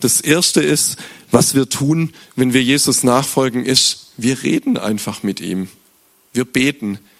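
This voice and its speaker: At a fairly slow pace, a man with a normal speaking voice talks at medium pitch. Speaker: youth preacher. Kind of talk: sermon.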